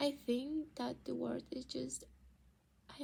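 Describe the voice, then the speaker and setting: Fairly unhurried speech from a woman in a Spanish accent. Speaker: actor and vlogger. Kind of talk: personal video diary. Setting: at home. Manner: halting.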